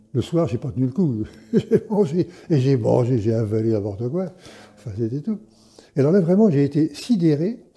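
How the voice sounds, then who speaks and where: A man with a dark, mellow, somewhat breathy voice speaks at a moderate pace and a fairly high pitch. His pitch swings very widely, and he takes long, frequent pauses. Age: 70s. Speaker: fasting retreat participant. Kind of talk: interview. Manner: halting, many repetitions.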